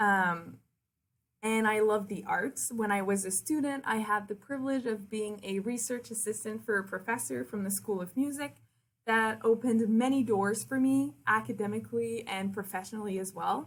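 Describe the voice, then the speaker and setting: With a French Canadian accent, a woman speaks at a moderate pace in a fairly high voice with ordinary pitch variation. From Quebec City. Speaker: university liaison and communications officer. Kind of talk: presentation to prospective students. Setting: recorded virtual presentation.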